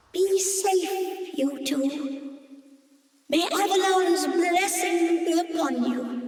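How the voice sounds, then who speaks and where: A put-on character voice at an extremely high pitch drags along at a very slow pace. Clear echo hangs around it. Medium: video game. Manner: warm, encouraging.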